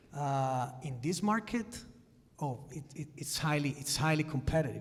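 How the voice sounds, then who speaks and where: There is audible room echo around this man's voice, which has ordinary pitch variation. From Italy. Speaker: sports executive. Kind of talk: conference panel discussion.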